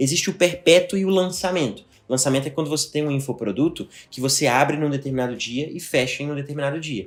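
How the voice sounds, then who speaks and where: Very fast, a man speaks with ordinary pitch variation. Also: fairly high pitch for a man. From Belo Horizonte, Brazil. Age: 20s. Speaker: digital marketing entrepreneur. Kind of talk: podcast interview.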